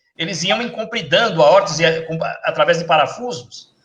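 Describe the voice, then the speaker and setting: There is audible room echo around a man whose intonation is lively. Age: 60s. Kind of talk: live stream interview. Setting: Facebook live video call.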